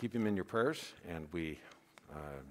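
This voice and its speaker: With ordinary pitch variation, this man's voice carries vocal fry. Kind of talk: church announcements. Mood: relaxed, lightly humorous. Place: church.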